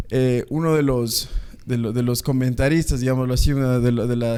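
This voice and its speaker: This man speaks at a fairly quick pace. His intonation is monotone and flat. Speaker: podcast host. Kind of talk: podcast intro.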